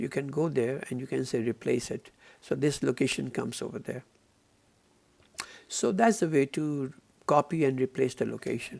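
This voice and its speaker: Pausing long and often, a man speaks at a moderate pace with a medium pitch and ordinary pitch variation. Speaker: software trainer. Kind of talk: tutorial.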